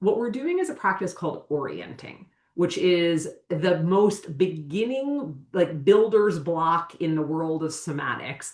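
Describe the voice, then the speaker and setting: A woman talks at a fairly slow pace in a normal speaking voice. Her pitch sits fairly low, and her intonation is lively. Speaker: somatic educator. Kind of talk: podcast interview. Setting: video call from her office. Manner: deliberately slowed speech.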